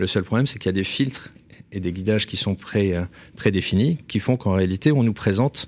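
The man speaks at a fairly quick pace. His pitch varies in an ordinary way. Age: 40s. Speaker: real estate executive and essayist. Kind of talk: interview. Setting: studio.

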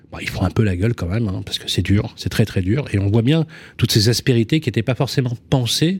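Very fast and somewhat breathy, a man speaks at a fairly low pitch with ordinary pitch variation. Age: old. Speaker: radio co-host. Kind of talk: radio interview.

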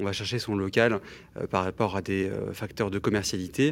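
This is a man speaking. His pace is moderate. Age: 30s. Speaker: commercial real estate broker, entrepreneur. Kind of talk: casual radio interview. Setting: radio studio. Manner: hesitant, many fillers.

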